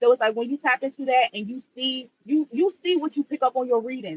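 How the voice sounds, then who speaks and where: Very fast and animated, a man with an American accent speaks at an extremely high pitch. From Washington DC. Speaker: livestreamer, spiritual reader. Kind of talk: casual livestream chat. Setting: live stream.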